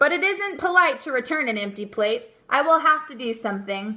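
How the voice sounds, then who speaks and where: A woman's high-pitched put-on character voice at a moderate pace, with very wide pitch swings and big swings in loudness. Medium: read story. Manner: cheerful, earnest, naive.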